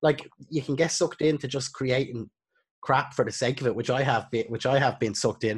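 Speaking at a fairly quick pace, a man with an Irish accent and medium pitch sounds somewhat breathy, keeping a fairly even intonation. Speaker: podcast host and videographer. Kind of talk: casual chat.

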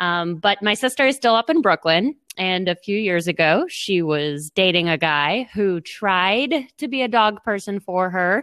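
An unremarkable speaking voice runs with lively intonation and hardly any pauses, on a very clean recording with a silent background. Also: woman, medium pitch for a woman, fairly slow pace. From Boston. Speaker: tech startup co-founder. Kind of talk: interview.

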